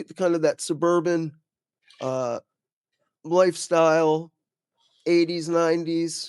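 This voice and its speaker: A man speaks very slowly at a high pitch, with long, frequent pauses and monotone, flat intonation. The sound is dry and close with no echo. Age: 40s. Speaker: podcast host. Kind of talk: interview conversation.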